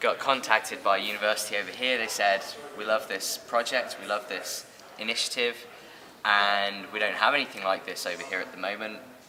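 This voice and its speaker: A man with a British accent at a fairly quick pace, over noticeable background noise. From England. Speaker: social entrepreneur. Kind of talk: interview.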